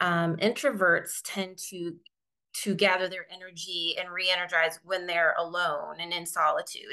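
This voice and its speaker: A woman's fairly low voice has a bright, sharp tone and a monotone, flat delivery. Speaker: physician coach. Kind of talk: podcast interview. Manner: hesitant, many fillers.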